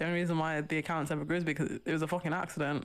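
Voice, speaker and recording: Speaking very fast in a monotone, flat delivery, a woman with a fairly low pitch is heard on a very clean recording against a silent background. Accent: British. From Britain. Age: 20s. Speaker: book social media creator. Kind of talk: casual chat.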